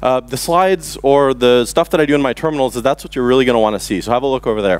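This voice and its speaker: Over noticeable background noise, a man talks very fast with lively intonation. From Canada, Montreal. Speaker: conference speaker, software developer. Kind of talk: conference talk. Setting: stage with audience.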